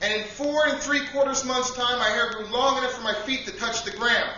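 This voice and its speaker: Over noticeable background noise, a man with an extremely high pitch talks at a moderate pace in an animated, deadpan tone. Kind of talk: spoken-word comedic monologue. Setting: stage with audience, live poetry cafe. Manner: animated, deadpan comic delivery with absurd punchlines and rhetorical asides.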